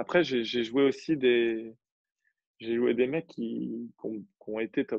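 A man talks very slowly, his pitch medium and its variation ordinary. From Normandy, France. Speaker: tennis coach and competitive player. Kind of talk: casual interview chat.

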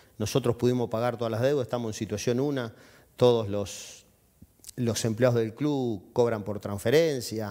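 A man at a medium pitch with an Argentine accent, dark and mellow in tone, moderate in pace, with fairly even intonation over a quiet background. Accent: Rioplatense Argentine Spanish. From Junín, Buenos Aires province, Argentina; Buenos Aires province, Argentina. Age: 50s. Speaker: football club president; guest. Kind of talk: TV interview. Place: studio. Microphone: headset.

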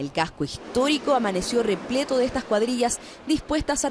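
Amid noticeable background noise, a woman with a Chilean accent speaks at a moderate pace with lively intonation. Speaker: TV news reporter. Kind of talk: news report narration.

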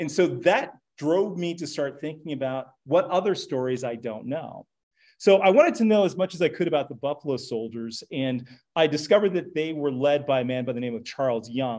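Over a quiet background, a man with an American accent talks at a fairly quick pace and fairly high pitch, his intonation lively. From Los Angeles, California. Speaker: author and lecturer; lecturer. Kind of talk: lecture. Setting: stage with audience. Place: hall. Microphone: lapel.

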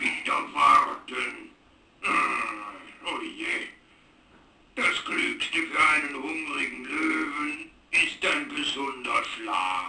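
A man performs a cartoonish character voice at a very slow pace. Long, frequent pauses break up his lines. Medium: puppet.

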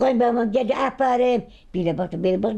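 A woman with a dark, mellow tone and a fairly high pitch talks at a fairly slow pace. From Malatya, eastern Turkey. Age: 80s+. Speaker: elderly village woman. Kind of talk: casual conversational storytelling.

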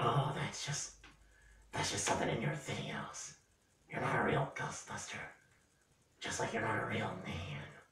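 In a put-on character voice, a raspy man speaks at medium pitch and a moderate pace with long, frequent pauses and a slight echo. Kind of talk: comedic ventriloquist dialogue.

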